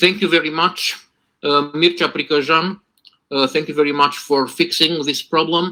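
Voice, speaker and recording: At a moderate pace, a man with a fairly high pitch and a bright, sharp tone keeps very even loudness and fairly even intonation, leaving long, frequent pauses. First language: Romanian. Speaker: event moderator. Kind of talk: live panel moderation. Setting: video call livestream. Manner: hesitant, many fillers.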